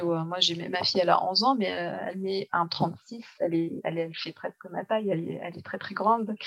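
A woman's normal speaking voice, with fairly even intonation and a moderate pace. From Tunisia. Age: 30s. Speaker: newborn photographer. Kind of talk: interview.

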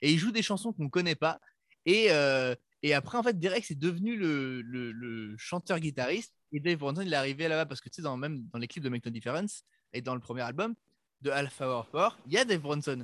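In a plain, everyday voice, a man talks at a fairly quick pace and fairly high pitch with lively intonation, the sound dry and close with no echo. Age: 20s. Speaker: pop-punk musician. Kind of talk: casual chat.

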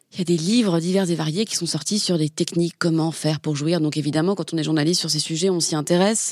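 A woman talks at a fairly quick pace in a fairly low pitch with ordinary variation. The recording is very clean, with a silent background. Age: 30s. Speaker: journalist. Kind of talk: casual chat. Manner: halting.

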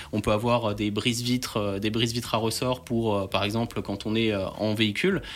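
A man with a plain, everyday voice speaks at a medium pitch and a fairly quick pace. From France, Alsace (Strasbourg). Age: 20s. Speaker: entrepreneur, former soldier and firefighter. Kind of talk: radio interview.

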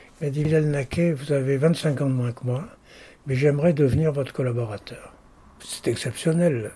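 At a moderate pace, a man talks in a fairly high, somewhat breathy voice with a dark, mellow tone. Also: ordinary pitch variation. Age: 80s+. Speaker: lawyer and arbitrator. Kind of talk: interview.

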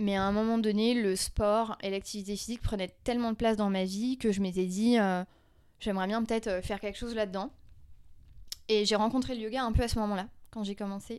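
Despite long, frequent pauses, a woman speaks at a fairly quick pace with a fairly high pitch and monotone, flat intonation. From rural France. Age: 30s. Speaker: former yoga teacher. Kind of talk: casual chat.

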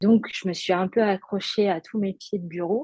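Recorded dry and close with no echo, a woman talks at a fairly slow pace in a dark, mellow tone. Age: 30s. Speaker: art director, stroke survivor. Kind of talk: testimony. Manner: halting.

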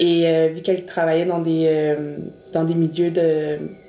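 Speaking at a fairly slow pace, a woman uses a fairly low pitch with monotone, flat intonation. Noticeable background noise and audible room echo are present. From Montreal, Quebec. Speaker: mother sharing her experience. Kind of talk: personal testimony.

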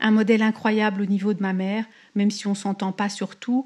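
Against a quiet background, a woman speaks fairly slowly at a medium pitch in a monotone, flat intonation. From France (Paris). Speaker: expat entrepreneur. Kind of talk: interview about her life story. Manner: hesitant, many fillers and repetitions.

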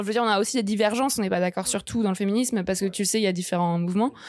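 A woman speaks in a normal speaking voice, her pitch fairly high and her intonation fairly even. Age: 20s. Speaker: journalist and feminist activist. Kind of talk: casual interview.

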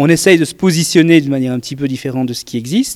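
Very fast and lively in intonation, a man speaks at a fairly high pitch. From Belgium. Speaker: beer competition organizer. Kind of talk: interview.

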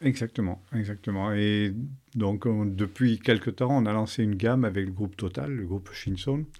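The voice belongs to a man with a fairly low pitch. Its tone is dark and mellow. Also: very clean recording, silent background. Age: 50s. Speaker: business founder. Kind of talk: interview. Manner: hesitant, many fillers.

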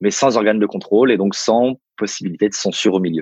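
A man talks in a fairly low voice at a moderate pace, his pitch varying in an ordinary way. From Paris suburbs, France. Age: 30s. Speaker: entrepreneur and venture investor. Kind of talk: interview. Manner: halting.

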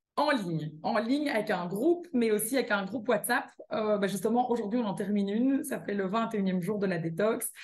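Speaking in a Belgian accent, a woman keeps a moderate pace and medium pitch with lively intonation. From Belgium. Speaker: cookbook author and wellness coach. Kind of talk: casual interview.

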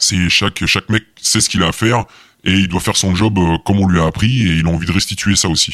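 Speaking at a very fast pace, a man with a very deep, low pitch keeps fairly even intonation and very even loudness. The sound is dry and close with no echo, on a very clean recording with a silent background. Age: 20s. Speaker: police tactical unit officer. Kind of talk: interview. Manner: halting.

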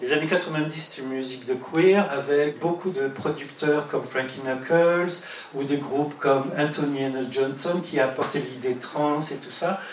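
A man with fairly high pitch talks with hardly any pauses and fairly even intonation. Noticeable background noise and audible room echo are present. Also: fairly slow pace. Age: 60s. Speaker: music journalist and activist. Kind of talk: testimony. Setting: LGBT community centre.

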